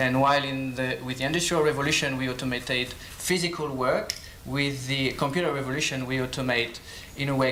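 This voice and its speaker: With a French accent and medium pitch, a man speaks at a fairly quick pace with fairly even intonation, amid audible room echo and noticeable background noise. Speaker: professor and lab director. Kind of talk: conference talk. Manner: hesitant, many fillers.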